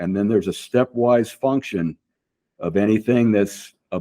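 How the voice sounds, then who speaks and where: A man's fairly low-pitched voice, dark and mellow in tone, at a fairly slow pace, with a dry, close sound and no echo. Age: 60s. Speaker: vascular surgeon, bodybuilder. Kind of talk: casual interview chat.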